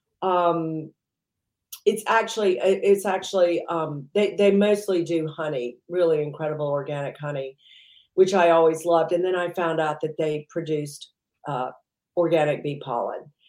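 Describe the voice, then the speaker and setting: A woman with an American accent, an ordinary speaking voice, fairly low pitch, ordinary pitch variation and a moderate pace. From US South, Mississippi. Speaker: entrepreneur. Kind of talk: interview.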